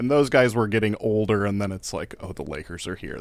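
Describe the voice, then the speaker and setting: Here is a man with an unremarkable speaking voice. His pitch is fairly low, with ordinary pitch variation. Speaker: podcast co-host. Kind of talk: casual chat.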